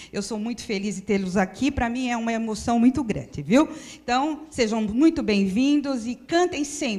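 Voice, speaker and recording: A woman with a fairly high, dark and mellow voice speaks at a moderate pace with lively intonation. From São Paulo, Brazil (Penha district). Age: 60s. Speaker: spiritist center presenter. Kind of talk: welcome address.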